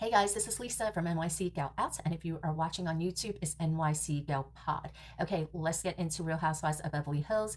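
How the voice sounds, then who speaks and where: A woman's fairly low-pitched voice with vocal fry, at a very fast pace with hardly any pauses. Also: ordinary pitch variation. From New York. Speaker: reality TV podcaster. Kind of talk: casual recap monologue. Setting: home recording room. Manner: animated.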